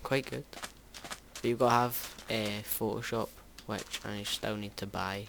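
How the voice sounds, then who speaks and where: Against noticeable background noise, a man with a fairly low pitch talks at a fairly slow pace with fairly even intonation and long, frequent pauses. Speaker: gaming youtuber. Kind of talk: let's play commentary. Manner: halting, many fillers.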